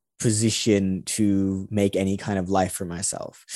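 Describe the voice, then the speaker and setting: A man's dark, mellow tone at a moderate pace. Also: very clean recording, silent background. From London, born in Los Angeles. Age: 20s. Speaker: social entrepreneur and podcaster. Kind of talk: interview conversation.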